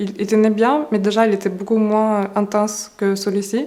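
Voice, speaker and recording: With a Russian accent, a woman of medium pitch talks at a moderate pace over noticeable background noise. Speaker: beauty YouTuber. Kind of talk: casual talk to camera.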